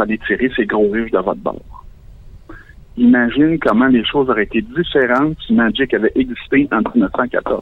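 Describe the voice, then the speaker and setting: His intonation is lively. The man's pitch sits in the medium range. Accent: Quebec. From Quebec, Valleyfield. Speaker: caller. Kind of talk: comedic call-in monologue. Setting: phone call.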